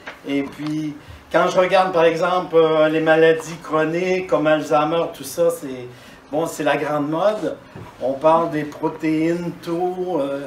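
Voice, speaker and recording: A man speaks at a very slow pace. Audible room echo and noticeable background noise fill the recording. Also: fairly even intonation. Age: 60s. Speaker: dentist giving a talk. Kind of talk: conference talk. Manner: hesitant, with fillers and repetitions.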